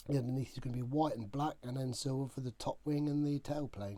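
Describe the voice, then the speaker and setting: A man speaks in a dark, mellow tone. His tone is relaxed. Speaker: scale model kit reviewer. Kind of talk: casual talk to camera. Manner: relaxed, hesitant with many fillers.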